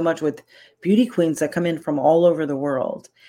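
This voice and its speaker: This is an unremarkable speaking voice with ordinary pitch variation. The recording is very clean, with a silent background. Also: woman. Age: 60s. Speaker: celebrity makeup artist and coach. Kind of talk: casual interview.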